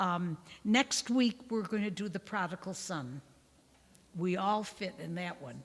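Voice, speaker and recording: The voice is warm and somewhat breathy, with lively intonation at a fairly slow pace. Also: woman. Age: 80s+. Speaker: nun giving a parish Bible talk. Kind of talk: lecture with group discussion. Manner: informal, warm.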